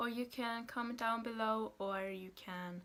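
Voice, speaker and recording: A woman with a Norwegian accent speaks at a fairly high pitch. Her pace is fairly slow, with ordinary pitch variation. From Norway, Haugesund area. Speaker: vlogger. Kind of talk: casual vlog talk. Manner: hesitant, many fillers.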